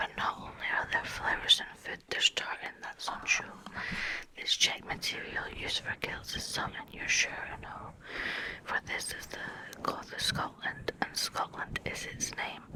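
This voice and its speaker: A woman whispers at a fairly slow pace. Noticeable background noise runs underneath. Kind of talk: ASMR poetry reading. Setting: close mic. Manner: whispered.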